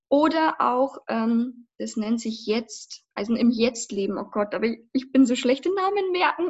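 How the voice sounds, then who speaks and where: The speaker uses lively intonation. The pace is fairly slow. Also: woman, high pitch for a woman. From Lower Bavaria, Passau. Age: 20s. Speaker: vocal and acting coach, former musical performer. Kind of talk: casual interview.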